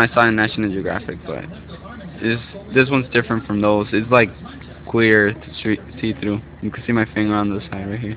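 Over light background noise, a man talks at a moderate pace in a dry recording with no echo. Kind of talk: casual vlog chat. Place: home room.

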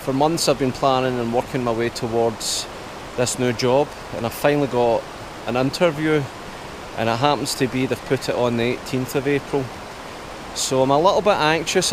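A man talks at a moderate pace with long, frequent pauses and ordinary pitch variation, the sound dry with no echo but with noticeable background noise. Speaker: camper vlogger. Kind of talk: casual vlog chat. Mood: slightly anxious, reflective. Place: waterside. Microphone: phone near.

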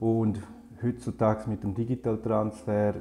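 In a dark, mellow tone, a man speaks at a fairly slow pace with fairly low pitch, somewhat breathy, over light background noise. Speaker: graphic designer. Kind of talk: tutorial. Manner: halting with frequent filler sounds. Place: home room.

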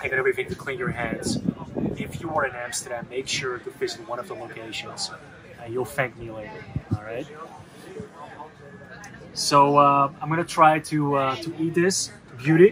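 A man speaks at a moderate pace, with long, frequent pauses and big swings in loudness. Light background noise sits behind him. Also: ordinary pitch variation. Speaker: food vlogger. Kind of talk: casual vlog chat. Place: cafe.

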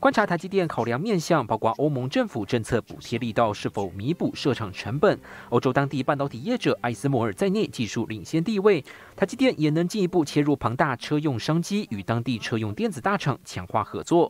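This man has a fairly high pitch with very wide pitch swings and talks at a fairly quick pace. The recording is very clean, with a silent background and a dry, close sound with no echo. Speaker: TV news reporter. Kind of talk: news report.

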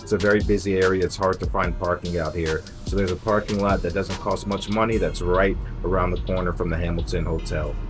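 Clear music plays in the background. A man with a very deep, low pitch talks at a very fast pace. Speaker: travel vlogger. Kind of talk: casual vlog chat. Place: street. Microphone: phone near.

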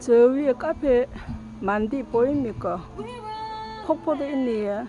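With music in the background, a woman with a high voice speaks at a very slow pace. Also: ordinary pitch variation. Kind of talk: casual vlog narration.

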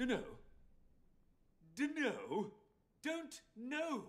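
Using a put-on character voice at an extremely high pitch, a man speaks very slowly with very wide pitch swings. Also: fairly bright tone.

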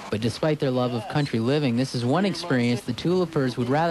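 Noticeable background noise sits behind the speaker. He is a man with a fairly high-pitched voice and ordinary pitch variation. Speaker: TV news reporter. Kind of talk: TV news report.

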